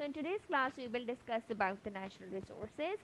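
A woman's high-pitched voice in a dry sound with no echo. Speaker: online teacher. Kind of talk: lesson to young children. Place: home room. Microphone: webcam.

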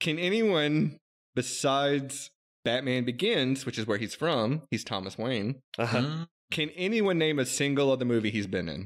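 A man speaks in an unremarkable speaking voice at a medium pitch. His pace is moderate and his intonation lively. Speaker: podcast host. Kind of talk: casual chat.

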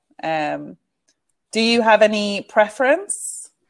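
A woman speaks with lively intonation over a quiet background. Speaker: online English tutor. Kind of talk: online English lesson. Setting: video call. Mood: friendly, encouraging. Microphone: video call.

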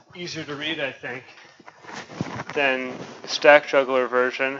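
Monotone, flat delivery at a fairly slow pace, with big swings in loudness, long, frequent pauses and noticeable background noise. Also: man. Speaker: programmer presenting a short talk. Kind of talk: short technical talk. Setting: meeting room with microphone. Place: meeting room. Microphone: camera far.

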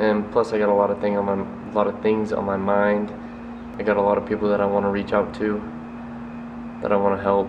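Monotone, flat intonation over noticeable background noise. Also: man. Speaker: vlogger. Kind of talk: casual vlog chat. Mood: warm, supportive, reflective. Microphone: phone near.

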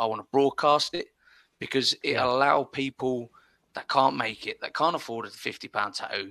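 A medium-pitched man speaks at a fairly quick pace in a bright, sharp tone, the sound dry with no echo and the background quiet. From Spain (from age nine), British family. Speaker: podcast host. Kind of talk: casual interview chat. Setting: video call. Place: home room. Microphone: studio mic.

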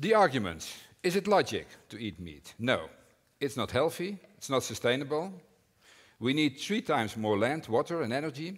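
Over a quiet background, a man talks at a moderate pace with big swings in loudness and long, frequent pauses. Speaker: conference speaker. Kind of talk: prepared talk. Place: hall.

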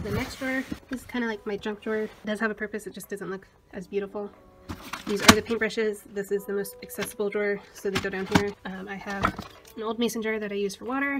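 A woman talks at a very fast pace over loud background noise. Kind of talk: casual vlog chat. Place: home room. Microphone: phone near.

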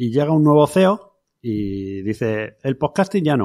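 Very wide pitch swings from a man on a very clean recording with a silent background. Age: 40s. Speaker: podcaster and podcast platform creator. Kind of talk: interview conversation. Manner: casual, informal.

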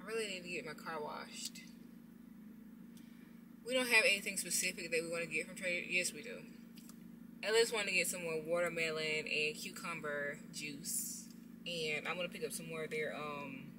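A woman's fairly quick speech with ordinary pitch variation, over noticeable background noise. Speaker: vlogger. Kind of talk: casual vlog chat. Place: car. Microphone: phone near.

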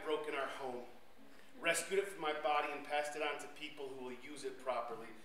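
A man with a fairly high voice speaks very fast, with ordinary pitch variation. Room echo and light background noise are audible. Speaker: poet. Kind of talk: performed spoken-word poem. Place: stage. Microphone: handheld.

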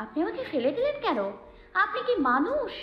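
Using a put-on character voice, a woman speaks at an extremely high pitch with very wide pitch swings. Her pace is moderate, and background noise is clear. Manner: angry, through gritted teeth.

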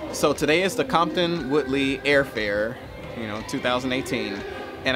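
Clear music plays in the background. The voice has ordinary pitch variation. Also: man. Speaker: pilot vlogger. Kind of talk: casual vlog chat. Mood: proud, reflective. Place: street. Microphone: phone near.

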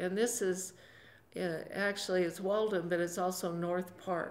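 A woman speaks at a fairly slow pace. Her intonation is monotone and flat. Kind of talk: interview answer. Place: office.

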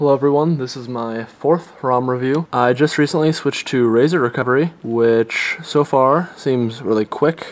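A man talks at a moderate pace with hardly any pauses, using an ordinary speaking voice at medium pitch with ordinary pitch variation. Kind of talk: tech review voiceover.

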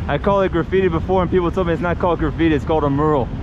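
A man speaks fairly quickly over loud background noise, and the sound is dry with no echo. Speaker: travel vlogger. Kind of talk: casual vlog chat. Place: street. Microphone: phone near.

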